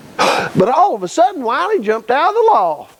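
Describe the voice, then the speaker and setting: Over noticeable background noise, a man talks at a fairly slow pace while his pitch swings very widely. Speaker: storyteller. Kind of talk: folk tale telling. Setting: live audience at a camp.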